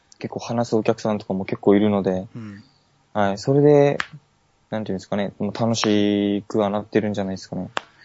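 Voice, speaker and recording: A man speaks at a fairly quick pace in a plain, everyday voice pitched fairly low. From Okinawa, Japan. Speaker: basketball shop employee and fan. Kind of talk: casual chat.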